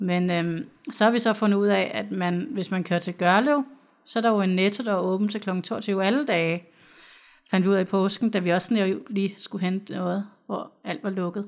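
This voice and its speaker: A woman in a normal speaking voice of medium pitch talks at a moderate pace with ordinary pitch variation, in a very clean recording with a silent background. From Copenhagen, Denmark. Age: 30s. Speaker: social worker. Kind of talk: interview. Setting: studio.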